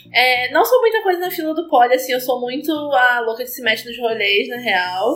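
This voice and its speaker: The speaker talks at a moderate pace with hardly any pauses, lively intonation and big swings in loudness over noticeable background noise. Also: woman, high pitch for a woman. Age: 20s. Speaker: pole dancer. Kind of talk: casual chat.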